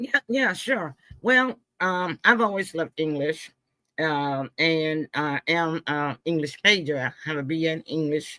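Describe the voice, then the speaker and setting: Speaking at a fairly slow pace, a woman has a very deep, low pitch and a bright, sharp tone, recorded very cleanly against a silent background with a dry, close sound and no echo. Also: lively intonation. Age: 70s. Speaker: author and filmmaker. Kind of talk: interview conversation. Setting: live stream.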